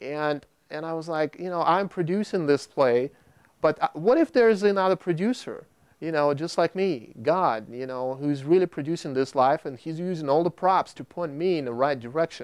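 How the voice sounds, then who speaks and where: A man speaks at a moderate pace with fairly high pitch and ordinary pitch variation. The sound is dry and close with no echo, on a very clean recording with a silent background. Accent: Russian. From Russia. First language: Russian. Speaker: video producer. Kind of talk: testimony. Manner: halting.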